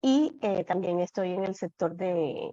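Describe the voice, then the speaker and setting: This woman's voice has a dark, mellow tone and a fairly low pitch. The sound is dry and close, with no echo. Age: 40s. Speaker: psychologist and coach. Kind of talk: panel discussion. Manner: hesitant, many fillers.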